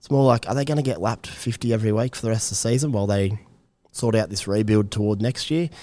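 A man with an Australian accent speaks very fast in a fairly low pitch, his tone dark and mellow, with ordinary pitch variation. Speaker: fantasy rugby league analyst. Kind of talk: casual chat.

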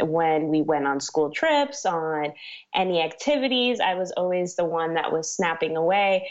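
Speaking at a moderate pace, a woman with an unremarkable speaking voice uses lively intonation. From Miami, Florida. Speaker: wedding photographer. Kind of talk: interview.

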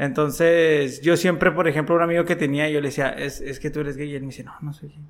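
A man with a fairly high voice talks very fast, hardly pausing, his intonation fairly even while his loudness swings widely. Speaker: podcast co-host, former DJ. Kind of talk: casual interview. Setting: recorded in an unusual location.

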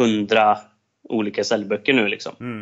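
A man's medium-pitched voice stays flat and monotone at a moderate pace. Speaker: salesperson and entrepreneur. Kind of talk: casual interview.

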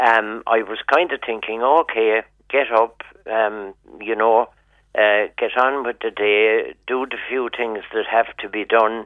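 With a Cork accent, a man speaks at a medium pitch with fairly even intonation. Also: fairly slow pace. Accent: Cork Irish. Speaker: caller. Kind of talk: casual chat. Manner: halting.

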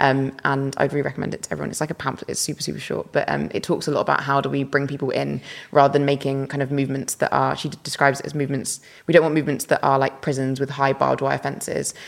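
This woman talks at a very fast pace. She has a British accent. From UK. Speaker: climate justice activist. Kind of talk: interview.

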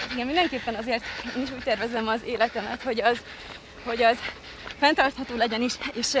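Over noticeable background noise, a woman speaks very fast in a high voice with fairly even intonation. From Hungary, Kazincbarcika. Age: 20s. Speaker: reality show contestant and former athlete. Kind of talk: casual interview while running. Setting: outdoors, park island.

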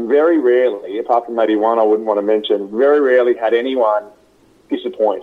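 With an Australian accent, this man talks in a fairly even intonation. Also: medium pitch for a man, fairly quick pace. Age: 30s. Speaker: radio host. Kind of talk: interview.

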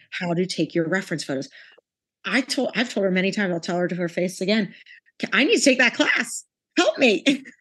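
With lively intonation and an animated tone, a woman speaks with long, frequent pauses. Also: medium pitch for a woman. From United States. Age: 30s. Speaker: visual artist. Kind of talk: interview. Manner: confident.

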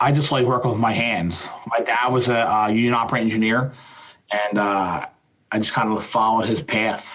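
A man with an American accent speaks at a fairly quick pace in a medium pitch. It's an unremarkable speaking voice, with very even loudness and fairly even intonation. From Philadelphia, US. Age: 40s. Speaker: glazier and business owner. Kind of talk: interview. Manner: casual.

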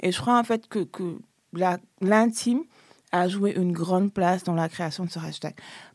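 A moderate pace with ordinary pitch variation, recorded very cleanly against a silent background. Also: woman, long, frequent pauses. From Senegal, Dakar. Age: 30s. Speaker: feminist activist. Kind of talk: interview testimony. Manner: halting.

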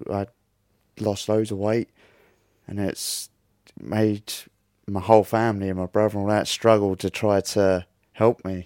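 A man with a Norfolk accent, fairly low pitch and a dark, mellow tone, monotone and flat, at a moderate pace with long, frequent pauses, in a very clean recording with a silent background and a dry, close sound with no echo. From Great Yarmouth, Norfolk, England. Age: 30s. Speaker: brain injury survivor. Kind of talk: interview. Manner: halting.

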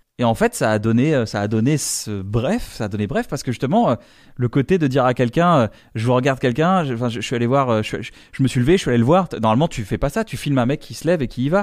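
Talking very fast with lively intonation, a man is heard on a very clean recording against a silent background. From northern France (Reims). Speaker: comedian. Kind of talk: casual chat. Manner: halting.

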